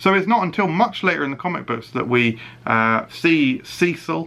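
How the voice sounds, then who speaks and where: Speaking at a fairly slow pace, a man with a British accent uses lively intonation, his bright, sharp tone set fairly high in pitch. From UK. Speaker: YouTube reviewer. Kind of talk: casual video review. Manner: animated; hesitant fillers.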